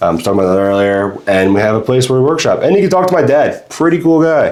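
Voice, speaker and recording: A man with an American accent at a very fast pace, intonation lively. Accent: Long Island accent hidden, barely audible. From Long Island, New York (Freeport). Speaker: charity volunteer, painting guest. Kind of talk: casual podcast chat. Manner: hesitant, many fillers.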